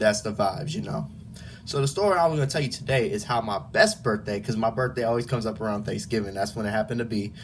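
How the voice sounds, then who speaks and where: Talking at a very fast pace, a man has an American accent. His intonation is lively, and noticeable background noise can be heard. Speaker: YouTuber, college student. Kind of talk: casual storytelling vlog. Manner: relaxed, casual.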